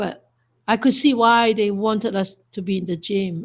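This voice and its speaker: A somewhat breathy woman's voice at medium pitch, fairly even intonation and a moderate pace, on a very clean recording with a silent background. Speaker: Buddhist monastic teacher. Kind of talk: dharma talk.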